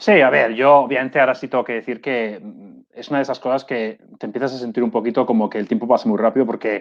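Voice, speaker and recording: This man talks at a very fast pace with hardly any pauses, his pitch medium and its variation ordinary. His loudness swings widely. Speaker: economist. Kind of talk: interview.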